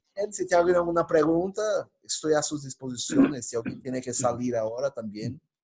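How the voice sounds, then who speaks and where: The pitch of this man's voice sits fairly high. He has a non-native accent. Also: lively intonation, fairly quick pace. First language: Portuguese (speaking Spanish). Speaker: pastor. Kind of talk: Q&A wrap-up after a teaching talk. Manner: halting, self-correcting.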